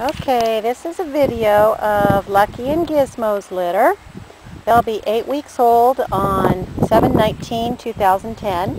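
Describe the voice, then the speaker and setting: Very slow speech, dry with no echo, over loud background noise. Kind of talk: casual sales description. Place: garden. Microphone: phone near.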